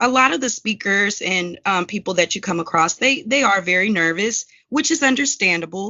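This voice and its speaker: With a Southern US accent, the speaker keeps a moderate pace and lively intonation. There are hardly any pauses. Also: woman, medium pitch for a woman. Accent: Southern twang. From US South. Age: 30s. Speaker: court stenographer and captioner. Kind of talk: podcast interview.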